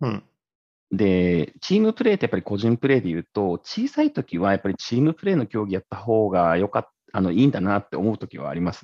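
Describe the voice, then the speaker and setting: A very fast-talking man with a fairly low pitch and ordinary pitch variation. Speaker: tech entrepreneur, former engineer. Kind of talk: casual chat.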